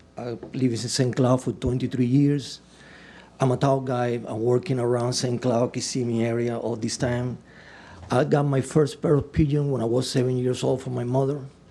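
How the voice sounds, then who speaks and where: His intonation monotone and flat, a man of medium pitch speaks at a moderate pace. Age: 60s. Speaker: applicant at city council meeting. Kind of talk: public comment. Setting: council chamber. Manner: halting.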